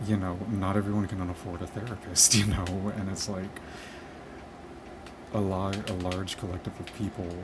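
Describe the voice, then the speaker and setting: Whispering and soft-spoken, the voice moves at a moderate pace over noticeable background noise. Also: man. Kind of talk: soft-spoken ramble to camera, casual talk; ASMR-style gaming vlog. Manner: soft-spoken, whispery, low-fi.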